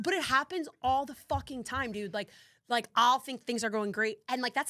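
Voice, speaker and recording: A woman talks at a fairly quick pace with lively intonation. She has a plain, everyday voice, and the recording is very clean with a silent background. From New Jersey. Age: 30s. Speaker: podcast host. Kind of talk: casual chat. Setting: studio.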